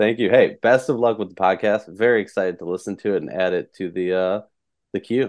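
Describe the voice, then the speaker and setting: A man with a normal speaking voice talks at a fairly quick pace with an American accent. His pitch is fairly low, with ordinary variation. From Minnesota. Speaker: sports media founder and podcast host. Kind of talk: casual sports podcast interview.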